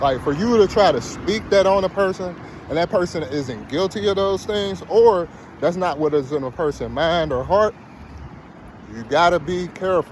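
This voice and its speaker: With lively intonation and high pitch, a man speaks at a moderate pace against noticeable background noise. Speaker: video blogger. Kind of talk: casual monologue.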